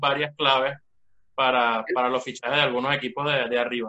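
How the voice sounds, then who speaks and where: With fairly even intonation and a fairly quick pace, this is an ordinary speaking voice. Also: man. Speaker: football podcast co-host. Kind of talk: casual chat. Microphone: bad connection.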